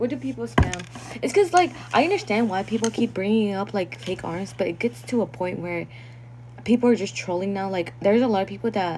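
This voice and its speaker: Noticeable background noise behind a woman's fairly low voice at a very fast pace. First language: not English. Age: 20s. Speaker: content creator. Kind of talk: livestream chat reading comments. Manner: casual, filler-heavy.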